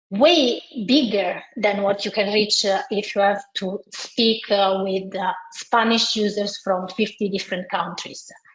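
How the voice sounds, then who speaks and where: A woman with an Italian accent talks at a fairly slow pace, her pitch varying in an ordinary way. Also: medium pitch for a woman. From Italy. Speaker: multilingual SEO consultant. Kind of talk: webinar presentation. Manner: hesitant, many fillers and restarts.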